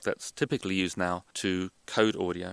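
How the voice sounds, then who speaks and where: With an American accent, a man speaks in a fairly low, flat monotone, recorded dry and close with no echo. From England. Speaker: professor and hearing scientist. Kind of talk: interview answers.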